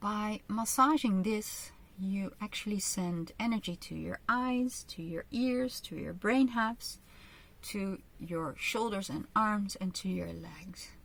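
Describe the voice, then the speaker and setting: With a Dutch accent, a woman speaks very slowly at a medium pitch, with ordinary pitch variation. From Netherlands. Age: 50s. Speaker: kinesiologist and author. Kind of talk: online training with guided exercises. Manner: slow, careful English with fillers.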